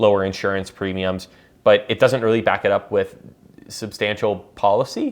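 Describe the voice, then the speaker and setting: A man's fairly low voice at a moderate pace. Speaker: news commentary podcaster. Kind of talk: solo news commentary. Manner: hesitant, many fillers.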